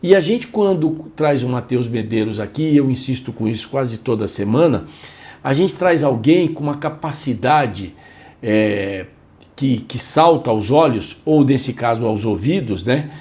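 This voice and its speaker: A man speaks at a fairly slow pace in a dark, mellow tone. His voice is somewhat breathy, with lively intonation. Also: medium pitch for a man. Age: 60s. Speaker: radio podcast host. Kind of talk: casual chat.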